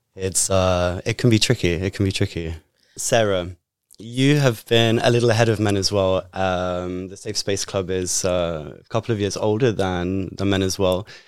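A man's very deep, low voice moves at a moderate pace with fairly even intonation, recorded very cleanly against a silent background. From Britain. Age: 30s. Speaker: podcast host, survivor advocate. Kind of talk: interview.

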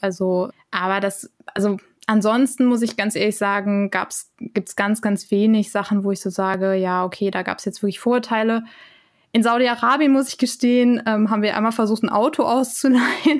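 With an ordinary speaking voice, a woman talks at a moderate pace, her fairly high pitch showing ordinary variation over a very clean recording with a silent background. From Germany. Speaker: intercultural trainer and lecturer. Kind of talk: casual interview.

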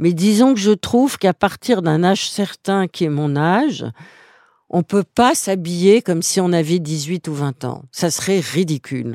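A woman talks with lively intonation at a fairly low pitch, her tone dark and mellow. The recording is very clean with a silent background and a dry, close sound with no echo. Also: fairly slow pace. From Guinea, West Africa (French expatriate childhood). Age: 70s. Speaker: interviewee on fashion and style. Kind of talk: personal interview. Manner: hesitant, frequent fillers.

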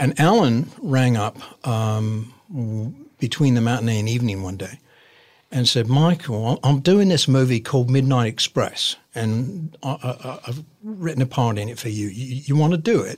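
An American man talks at medium pitch and a moderate pace, somewhat breathy, with lively intonation. The recording is very clean, with a silent background. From Arizona, US. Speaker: actor. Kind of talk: interview.

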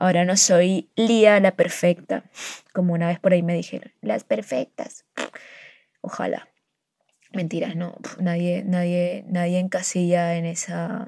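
Speaking at a fairly slow pace with long, frequent pauses, a woman has a fairly low pitch, a dark, mellow tone and ordinary pitch variation, recorded with a dry, close sound and no echo. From Colombian Caribbean coast, near Barranquilla. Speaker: podcaster. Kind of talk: personal monologue. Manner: hesitant, many fillers.

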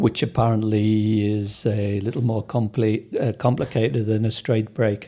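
This man has a fairly low, somewhat breathy voice with a dark, mellow tone. His intonation stays fairly even. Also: moderate pace. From northern England, Sunderland. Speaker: accident patient interviewee. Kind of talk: interview, personal story.

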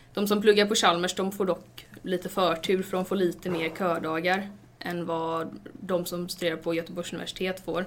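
Monotone, flat delivery from a woman at a fairly low pitch. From western Sweden, Stenungsund near Gothenburg. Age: 20s. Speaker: university student. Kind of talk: interview.

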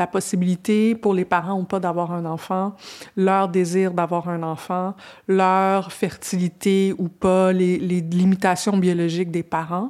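Speaking at a very slow pace in a monotone, flat delivery, a woman with a medium pitch comes through on a very clean recording with a silent background. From Quebec. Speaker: podcast host. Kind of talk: interview conversation. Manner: halting, many repetitions.

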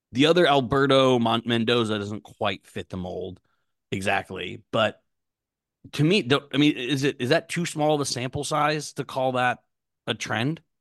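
Here is a man with a plain, everyday voice at medium pitch and a moderate pace, using ordinary pitch variation. The sound is dry and close with no echo, and the background is quiet. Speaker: podcast co-host. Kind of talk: casual chat.

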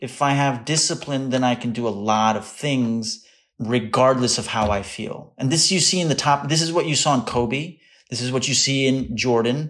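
In a very clean recording with a silent background, a man with an ordinary speaking voice talks at a medium pitch. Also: ordinary pitch variation, moderate pace. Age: 30s. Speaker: content creator and actor. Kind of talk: casual chat.

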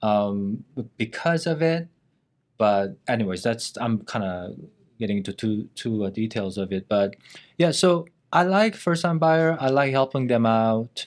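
In a Korean accent, a man speaks with lively intonation at a fairly slow pace on a very clean recording with a silent background. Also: medium pitch for a man. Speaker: real estate agent. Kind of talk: casual interview.

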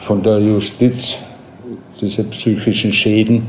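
Against noticeable background noise and audible room echo, a man talks at a very slow pace in a fairly low pitch with monotone, flat intonation. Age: 40s. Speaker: prison inmate. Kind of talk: interview. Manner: halting.

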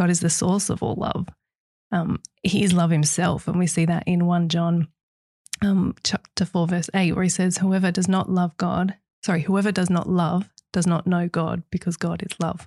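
At a moderate pace, a woman with a dark, mellow, somewhat breathy voice speaks in a monotone, flat intonation with long, frequent pauses, the sound dry and close with no echo. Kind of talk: casual faith discussion.

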